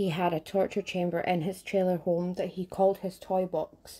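The woman's voice is dark and mellow, set at a fairly low pitch. Her intonation is monotone and flat, her pace moderate. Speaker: true crime podcaster. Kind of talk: true crime podcast narration.

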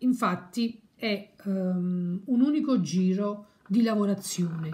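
A somewhat breathy woman's voice with a dark, mellow tone at a very slow pace. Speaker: crochet teacher. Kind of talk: tutorial.

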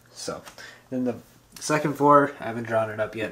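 Light background noise sits behind a man talking at a moderate pace. His pitch varies in an ordinary way. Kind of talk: casual vlog chat. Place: home room. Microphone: phone near.

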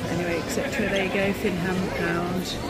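A woman speaks in a dry space with no echo. Music plays clearly behind her. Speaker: shopping vlogger. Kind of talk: commentary. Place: shop. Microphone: phone near.

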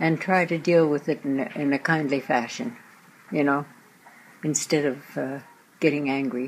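A woman with a Canadian Prairie accent and a very deep, low pitch, speaking at a moderate pace with ordinary pitch variation and long, frequent pauses. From Saskatchewan, Canada. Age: 80s+. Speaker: centenarian school guest. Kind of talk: answering children's questions. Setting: kindergarten classroom.

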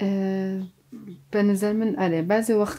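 A woman's voice with a dark, mellow tone. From Sanandaj, Iranian Kurdistan; Iranian Kurdistan. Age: 40s. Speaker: actor and dubbing director; actor. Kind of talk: interview. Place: studio. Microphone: lapel.

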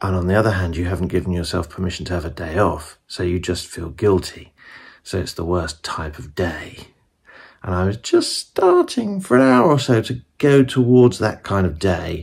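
At a moderate pace, a man speaks low with vocal fry, a slightly mellow tone and very wide pitch swings.

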